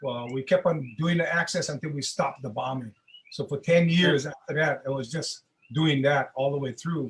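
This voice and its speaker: Somewhat breathy, a man speaks at a moderate pace with a fairly high pitch and fairly even intonation. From Hawaii (Kona, raised partly in Honolulu). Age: old. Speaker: Hawaiian rights activist. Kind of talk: interview conversation. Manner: halting, many repeated words.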